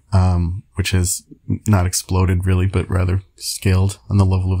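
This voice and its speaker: Somewhat breathy and dark, mellow in tone, a man's very deep, low voice moves at a moderate pace in a dry, close sound with no echo. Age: 30s. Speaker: video blogger, language learner. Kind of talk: casual monologue.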